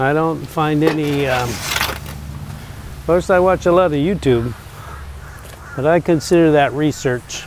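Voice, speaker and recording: Over noticeable background noise, a man with a fairly high pitch speaks at a very slow pace with ordinary pitch variation. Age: old. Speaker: YouTuber. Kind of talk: casual vlog monologue while working. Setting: outdoors in a garden.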